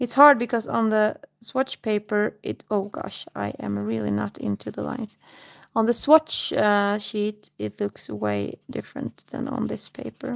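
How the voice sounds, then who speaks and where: In a very clean recording against a silent background, a woman delivers her words at a fairly slow pace. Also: dry, close sound with no echo. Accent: Swedish. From Sweden. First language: Swedish. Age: 30s. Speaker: livestreamer. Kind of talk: casual chat. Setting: live stream. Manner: halting.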